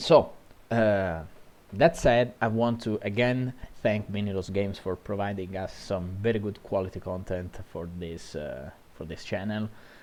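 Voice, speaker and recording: The speech has an Italian accent and a fairly slow pace. The loudness swings widely. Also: man, fairly low pitch for a man, ordinary pitch variation. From Italy. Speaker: gaming commentator. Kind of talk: video game match analysis. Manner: halting, frequent fillers and self-corrections.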